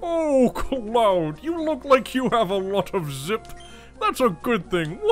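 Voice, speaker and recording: A put-on character voice at a fairly high pitch with very wide pitch swings, fairly slow pace, and clear music in the background. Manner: jolly, warm.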